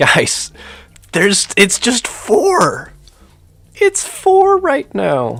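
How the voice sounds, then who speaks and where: Against noticeable background noise, a man speaks at a very slow pace. His speech has long, frequent pauses. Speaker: gaming streamer. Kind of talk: live stream chat. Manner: animated; loud.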